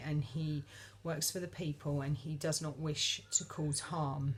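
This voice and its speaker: A woman talks at a fairly slow pace, somewhat breathy. Her pitch sits very deep and low. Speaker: vlogger. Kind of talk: casual monologue. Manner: hesitant, many fillers.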